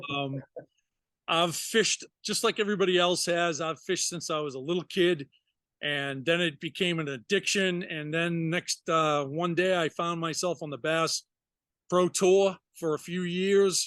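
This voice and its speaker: In a Massachusetts accent, a speaker talks at a moderate pace with fairly even intonation, recorded with a dry, close sound, no echo and a quiet background. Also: man, high pitch for a man. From Massachusetts, US. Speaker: retired firefighter and fishing charter captain. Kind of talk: casual interview.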